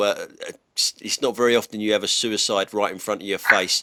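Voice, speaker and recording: A fairly low-pitched man's voice, bright and sharp in tone, monotone and flat, at a moderate pace, with a dry, close sound and no echo. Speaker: dash cam channel host, Uber driver. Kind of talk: casual commentary while driving. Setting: in a car. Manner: casual, halting with repetitions.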